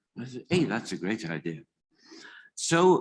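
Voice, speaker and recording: A man with a Welsh accent speaks at a medium pitch, with vocal fry and very wide pitch swings. The recording is very clean, with a silent background. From Wales. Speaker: museum committee founder. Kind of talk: conference talk. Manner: halting.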